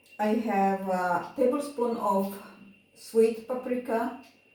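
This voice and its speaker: A woman with a non-native accent speaks very slowly at a fairly high pitch and with fairly even intonation, with audible room echo and noticeable background noise. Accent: non-native, admits pronunciation issues. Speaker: home cooking channel host. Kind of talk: cooking tutorial. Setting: home kitchen. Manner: slow, halting, many fillers.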